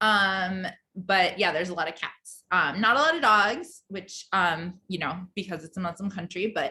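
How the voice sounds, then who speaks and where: With hardly any pauses, a woman talks in a bright, sharp tone. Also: medium pitch for a woman, ordinary pitch variation. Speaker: teacher. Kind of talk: presentation. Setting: video call. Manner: fast; many filler ums.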